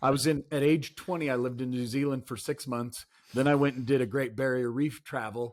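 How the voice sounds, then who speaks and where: At a fairly quick pace, a man talks in a normal speaking voice. His pitch is medium and his intonation fairly even. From Canada. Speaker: podcast host. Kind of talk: podcast interview.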